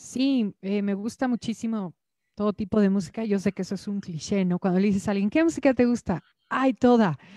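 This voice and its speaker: Her dark, mellow tone comes at a fairly quick pace, a woman captured in dry sound with no echo against a quiet background. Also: medium pitch for a woman, ordinary pitch variation. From Mexico City. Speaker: singer-songwriter; interviewee. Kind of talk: interview. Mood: friendly, smiling. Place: home room. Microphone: handheld.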